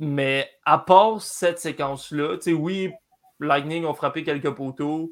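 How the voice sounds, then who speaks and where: On a very clean recording with a silent background, a man with a plain, everyday voice speaks fairly high in pitch, at a moderate pace with ordinary pitch variation. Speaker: hockey analyst. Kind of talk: casual sports talk. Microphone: network problems.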